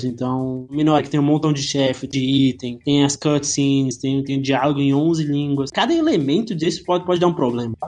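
With fairly even intonation, a man talks at a moderate pace in a fairly high pitch. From Brazil, Goiânia (Goiás). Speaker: indie game developer. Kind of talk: interview. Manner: halting, frequent word repetitions.

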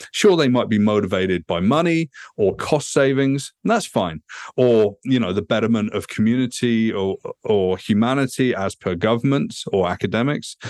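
Speaking with a British accent, a man uses a medium pitch and lively intonation at a moderate pace. The sound is dry and close with no echo against a quiet background. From England. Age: 40s. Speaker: futurist and author. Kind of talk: podcast interview.

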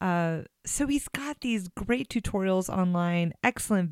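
A woman with an unremarkable speaking voice talks at a fairly slow pace in a fairly low pitch, her intonation lively. The sound is dry and close with no echo, and the recording is very clean with a silent background. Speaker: podcast host. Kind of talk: interview, podcast intro.

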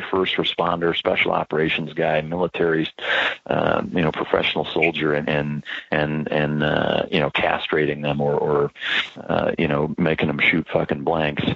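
In an American accent, a man speaks at a very deep, low pitch. His loudness stays very even against noticeable background noise. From Iowa, US Midwest. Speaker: dog trainer and former Navy SEAL. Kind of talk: casual interview. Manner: halting, many repeated words.

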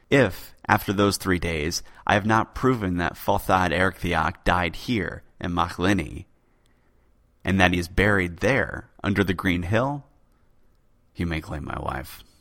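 With a dramatic, animated tone, a man of very deep, low pitch speaks at a fairly slow pace with long, frequent pauses and ordinary pitch variation, in a very clean recording with a silent background. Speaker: podcast host. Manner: dramatic, animated, theatrical; measured, suspenseful pacing.

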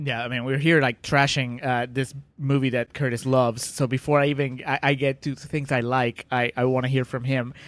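A man speaks at a fairly quick pace with a medium pitch, a non-native accent, flat monotone intonation and hardly any pauses, in a dry, close sound with no echo over a quiet background. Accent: foreign-accented English. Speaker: podcast co-host. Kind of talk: casual banter discussing a film.

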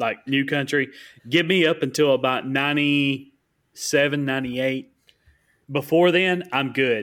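A man with a Southern US accent, fairly high in pitch, fairly slow and fairly even in intonation. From US South. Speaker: podcast co-host. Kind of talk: casual chat.

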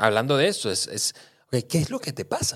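A man's fairly high voice with very wide pitch swings at a fairly quick pace, on a very clean recording with a silent background. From Venezuela. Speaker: podcast co-host. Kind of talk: casual chat. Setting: studio.

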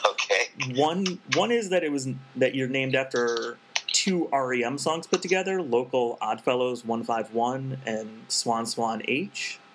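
Noticeable background noise sits behind a man speaking at a very slow pace. His pitch is medium, with lively intonation. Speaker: podcast host. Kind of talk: interview.

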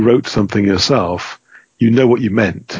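An unremarkable speaking voice at a fairly quick pace. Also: man. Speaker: game designer and rules editor. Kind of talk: podcast interview.

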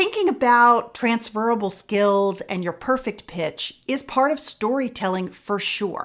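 On a very clean recording with a silent background, a woman with a fairly high pitch talks at a fairly slow pace, her pitch swinging very widely. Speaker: podcast host. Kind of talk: interview, conversational podcast. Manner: warm, friendly.

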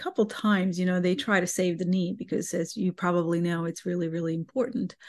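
A woman with a Bosnian accent talks in a fairly low voice against a quiet background. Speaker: guest, amputee and dog owner. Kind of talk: casual interview, personal story.

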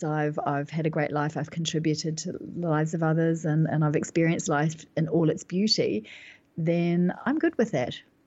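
With a New Zealand accent, a woman speaks at a moderate pace. Her pitch sits fairly low, and her intonation stays fairly even. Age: 50s. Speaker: business mentor and author. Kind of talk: interview conversation.

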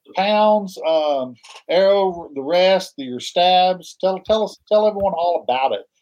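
Very slow speech from a man with an American accent, high pitch and ordinary pitch variation. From Oklahoma. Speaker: podcast host, archer. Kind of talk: casual chat.

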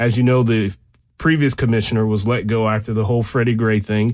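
The speaker has an unremarkable speaking voice and a fairly quick pace. Intonation stays fairly even. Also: man. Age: 40s. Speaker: radio host and law enforcement analyst. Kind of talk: talk radio monologue. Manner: casual, conversational.

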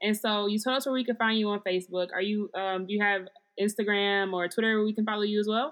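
A woman with a medium pitch speaks at a very fast pace. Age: 20s. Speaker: podcast host, PhD student. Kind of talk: casual interview. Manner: animated.

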